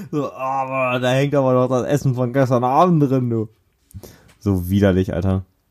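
Ordinary pitch variation marks this man's delivery. He keeps a moderate pace. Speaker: podcast co-host. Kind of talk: casual chat.

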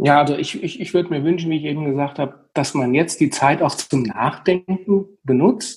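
A man talks at a moderate pace with hardly any pauses, his pitch fairly high. His voice is somewhat breathy, with ordinary pitch variation. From central Hesse, Germany. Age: 40s. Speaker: funeral home owner. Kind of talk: interview. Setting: remote recording from home.

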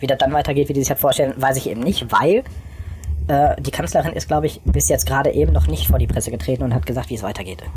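A man rattles off words very fast, with noticeable background noise behind him. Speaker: podcast co-host. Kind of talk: casual chat. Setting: remote call, recording on laptop. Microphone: laptop held close to face.

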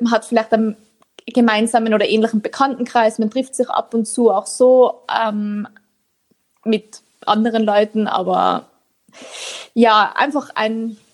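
Speaking at a fairly slow pace, a woman with an Austrian accent keeps her intonation fairly even. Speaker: author. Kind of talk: interview.

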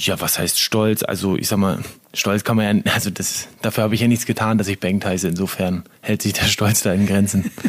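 Over noticeable background noise, a man talks at a fairly quick pace in a fairly low pitch, his intonation monotone and flat. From northern Germany, Lower Saxony near Bremen. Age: 30s. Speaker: handball player. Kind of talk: casual interview.

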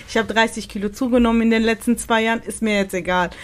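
A woman speaks at a fairly high pitch. Her intonation stays flat and monotone. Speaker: podcast host. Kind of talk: casual interview conversation. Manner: hesitant, many fillers.

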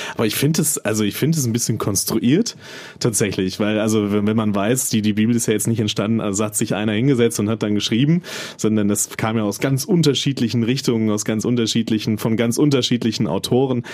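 The voice moves at a very fast pace with very even loudness and ordinary pitch variation over noticeable background noise. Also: man, medium pitch for a man. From North Rhine-Westphalia, small town. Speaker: podcast co-host. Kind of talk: casual chat. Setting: studio.

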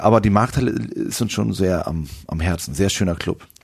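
Vocal fry is present as a man talks. His intonation is lively. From northern Germany, near Hamburg. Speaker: rock musician. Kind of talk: casual interview.

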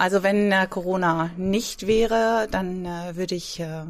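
This speaker goes along at a very slow pace. The pitch rises and falls in an ordinary way. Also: woman. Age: 50s. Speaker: fitness trainer. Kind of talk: casual interview. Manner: hesitant, many fillers.

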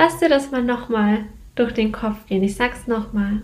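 Her voice sits fairly high for a woman. She is a woman speaking with ordinary pitch variation. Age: 20s. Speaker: podcast host, business coach. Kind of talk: solo podcast monologue.

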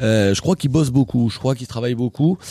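Dry and close with no echo, a man's medium-pitched voice carries lively intonation and a dark, mellow tone. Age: older than the guest. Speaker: radio comedy show host. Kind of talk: comedic radio show. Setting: studio. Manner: animated.

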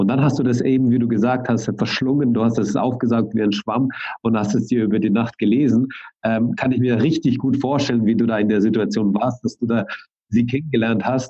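Speaking at a fairly quick pace, a man with a medium pitch and a dark, mellow tone keeps his loudness very even and his intonation fairly even. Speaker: podcast host. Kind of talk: casual interview.

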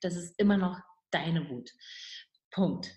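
A woman talks at a moderate pace with medium pitch. Her voice is somewhat breathy. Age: 50s. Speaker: midwife and relationship author. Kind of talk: interview.

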